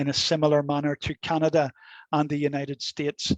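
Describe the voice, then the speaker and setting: With a Belfast accent, a man speaks at a fairly high pitch, the sound dry and close with no echo against a quiet background. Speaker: law academic. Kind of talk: lecture. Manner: hesitant, many fillers and repetitions.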